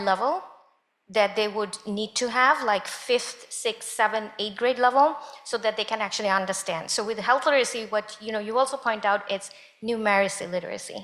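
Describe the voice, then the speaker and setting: The woman's voice is fairly high in pitch, with fairly even intonation. She keeps a moderate pace. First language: not English. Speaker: panel speaker. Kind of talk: panel discussion.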